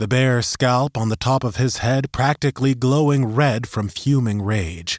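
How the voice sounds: This natural reading voice shows ordinary pitch variation.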